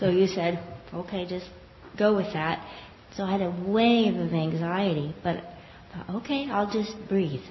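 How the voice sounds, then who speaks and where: A woman with a medium pitch speaks at a fairly slow pace with ordinary pitch variation. Noticeable background noise can be heard. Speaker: class participant. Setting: live class, speaking into a mic.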